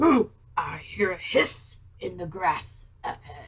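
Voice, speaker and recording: Gruff and put-on, this character voice stays deliberate. It runs at a fairly slow pace. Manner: laughing, gruff.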